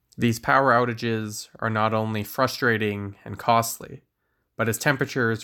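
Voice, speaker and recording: The recording is very clean, with a silent background. A man speaks with a bright, sharp tone and fairly even intonation. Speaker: news segment reporter. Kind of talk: scripted radio news report. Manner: formal, steady, informative.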